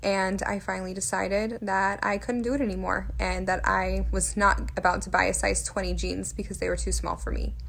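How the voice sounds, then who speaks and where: A woman speaks at a moderate pace. The room adds an audible echo. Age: 20s. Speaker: fitness vlogger. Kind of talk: personal vlog storytelling. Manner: casual with frequent fillers.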